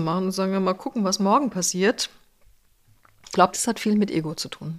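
This woman has an unremarkable speaking voice at a medium pitch. She talks at a fairly quick pace. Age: 60s. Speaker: HR executive and professor. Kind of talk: interview.

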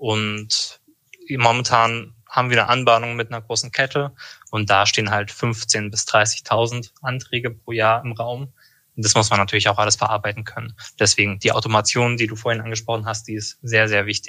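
Bright and sharp in tone, a man speaks at a medium pitch and a moderate pace with monotone, flat intonation. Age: 20s. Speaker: insurance broker. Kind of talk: casual interview chat.

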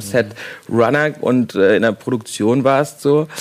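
A man talks in a plain, everyday voice at a medium pitch, with lively intonation. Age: 30s. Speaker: film director. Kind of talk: casual chat.

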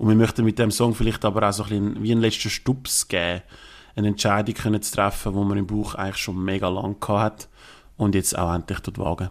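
This man's fairly low voice runs at a fairly quick pace with monotone, flat intonation. The recording is very clean, with a silent background. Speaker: indie pop band member. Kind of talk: interview.

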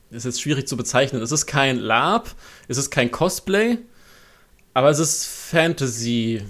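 A man's fairly high voice at a fairly slow pace, with lively intonation and long, frequent pauses. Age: 20s. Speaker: freelance copy editor. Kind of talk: interview.

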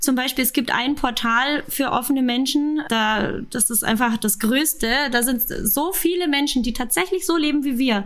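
A woman with a Bavarian accent speaks at a high pitch and a moderate pace. She uses ordinary pitch variation and hardly any pauses. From Munich, Bavaria. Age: 30s. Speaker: podcast guest in an open marriage. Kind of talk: casual interview.

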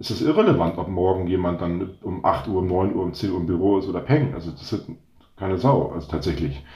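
Audible room echo surrounds a somewhat breathy man who speaks with ordinary pitch variation. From northern Germany, North Sea coast. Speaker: startup founder. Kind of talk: interview.

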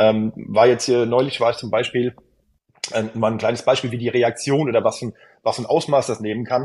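Monotone, flat intonation marks this man's somewhat breathy speech. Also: medium pitch for a man. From Hesse, near Frankfurt. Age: 30s. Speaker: travel consultant and content creator. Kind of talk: casual interview. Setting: remote call.

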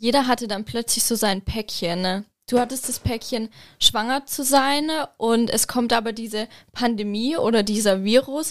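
In a very clean recording with a silent background, a woman speaks in a plain, everyday voice at a moderate pace, her pitch fairly high and her intonation fairly even. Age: 20s. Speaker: visual merchandising designer. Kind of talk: casual chat.

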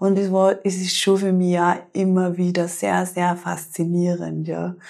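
A woman speaks at a very slow pace, her fairly low voice carrying a dark, mellow tone. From Austria, Tyrol. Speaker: yoga teacher and ayurveda therapist. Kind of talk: guided yoga instruction; interview. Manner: calm, soothing.

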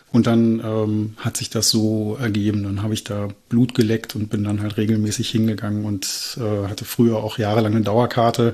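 This man has a fairly low pitch and a dark, mellow tone, speaking at a moderate pace in a monotone, flat intonation with hardly any pauses. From Berlin. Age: 40s. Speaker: football fan. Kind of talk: casual chat.

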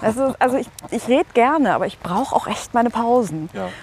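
A woman with a fairly high pitch talks over noticeable background noise. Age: 40s. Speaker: radio presenter and editor-in-chief. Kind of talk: casual interview.

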